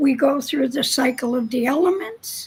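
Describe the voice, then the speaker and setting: High-pitched female speech against noticeable background noise. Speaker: shamanic teacher. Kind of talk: spiritual teaching.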